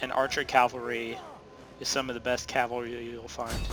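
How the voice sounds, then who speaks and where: Over music in the background, a man of medium pitch talks at a fairly slow pace in a monotone, flat intonation. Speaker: video game tutorial creator. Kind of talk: gameplay tutorial commentary. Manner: halting, many filler uhs.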